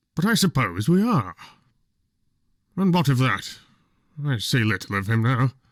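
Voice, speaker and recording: Using a put-on character voice with very wide pitch swings, a man of medium pitch speaks at a moderate pace with long, frequent pauses on a very clean recording with a silent background. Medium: read story. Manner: boisterous, decided.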